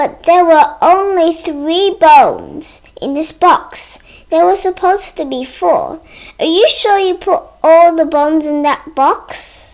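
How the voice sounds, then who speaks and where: A woman uses a put-on character voice at an extremely high pitch. Her pace is fairly slow. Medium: read story.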